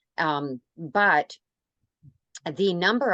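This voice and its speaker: A woman talks in an ordinary speaking voice with a Canadian accent, her pitch fairly low and its variation ordinary. The recording is dry and close, with no echo. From Canada. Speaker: radio host. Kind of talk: interview.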